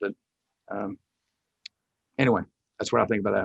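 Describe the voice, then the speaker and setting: The sound is dry and close with no echo as a man speaks at a fairly low pitch with ordinary variation. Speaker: college football head coach. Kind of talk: press conference. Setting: press conference. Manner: loud; halting, many fillers.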